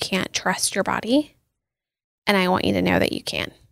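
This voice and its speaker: A woman with an American accent, at a medium pitch, with an unremarkable speaking voice at a moderate pace. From US Pacific Northwest, Seattle. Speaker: dietitian. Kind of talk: interview. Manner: frequent fillers (um, like).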